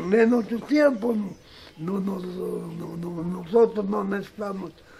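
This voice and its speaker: A man talks at a very slow pace, and there is light background noise. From Cajamarca, Peru. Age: 80s+. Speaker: retired farmer. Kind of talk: interview answer. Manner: hesitant, halting.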